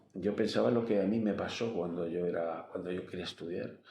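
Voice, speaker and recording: A man's very deep, low voice carries vocal fry and a dark, mellow tone. His intonation is lively, and there is audible room echo. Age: 70s. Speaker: engineer and teacher, interviewee. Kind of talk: interview. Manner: halting.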